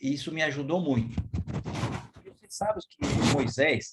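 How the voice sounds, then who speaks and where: A man speaks at a fairly slow pace. His fairly high-pitched voice sounds somewhat breathy. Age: 70s. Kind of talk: devotional talk. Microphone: too quiet for some listeners.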